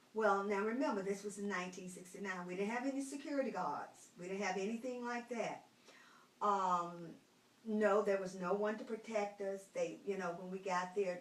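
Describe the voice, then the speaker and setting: A woman at medium pitch talks at a moderate pace with ordinary pitch variation, with audible room echo and noticeable background noise. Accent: American. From North Carolina, Roanoke Rapids. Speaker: retired school teacher. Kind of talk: interview.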